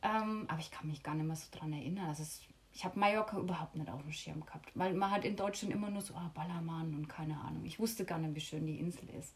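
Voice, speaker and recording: A woman's fairly low voice at a very fast pace, ordinary pitch variation, and noticeable background noise. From Lower Franconia, Bavaria. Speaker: yoga teacher. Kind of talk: casual interview.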